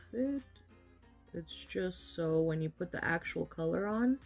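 A woman talks at a moderate pace over faint background music. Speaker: makeup vlogger. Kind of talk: tutorial. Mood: playful, relaxed. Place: home room. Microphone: phone near.

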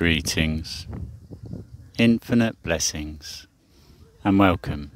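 At a very slow pace, a soothing, warm voice comes through dry with no echo over light background noise. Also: man. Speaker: meditation teacher. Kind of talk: live guided evening sleep meditation, second-person breath cues. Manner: slow, soothing and hypnotic, long flowing run-on sentences; warm, gently affirming, spiritual blessings. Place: garden. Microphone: phone near.

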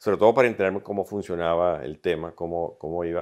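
Very deep, low male voice with fairly even intonation and a quiet background. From Venezuela (Caracas). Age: 60s. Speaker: pediatrician and clinic founder. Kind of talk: interview. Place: studio. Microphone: lapel.

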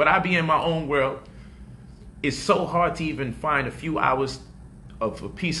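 A man's voice with ordinary pitch variation over light background noise. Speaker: online teacher, commentator. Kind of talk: casual vlog chat. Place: home room. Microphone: studio mic.

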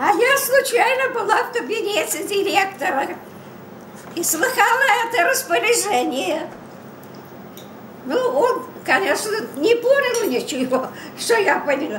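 A woman speaks at a fairly slow pace in an extremely high pitch with very wide pitch swings and long, frequent pauses, with light background noise and audible room echo. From Moscow, Russia. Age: 80s+. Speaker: grandmother. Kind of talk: family interview, telling a personal story. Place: kitchen. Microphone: camera far.

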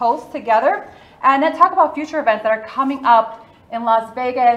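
Her voice sits high for a woman, with ordinary pitch variation and a moderate pace. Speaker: event host presenter. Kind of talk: presentation talk. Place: hall.

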